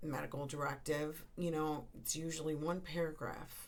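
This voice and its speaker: At a moderate pace, a woman with a very deep, low pitch speaks in a monotone, flat intonation amid audible room echo. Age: 60s. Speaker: end-of-life doula. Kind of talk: podcast monologue. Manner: conversational, with many fillers.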